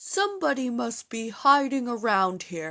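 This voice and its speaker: A woman does a put-on character voice at a fairly high pitch. Her pitch swings very widely at a moderate pace. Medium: read story.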